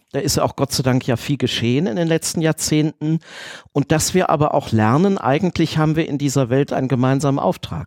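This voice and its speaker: A man with a plain, everyday voice talks at a fairly high pitch and a fairly quick pace, with ordinary pitch variation. His loudness stays very even, and the sound is dry and close with no echo. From Düsseldorf, Germany. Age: 40s. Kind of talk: interview.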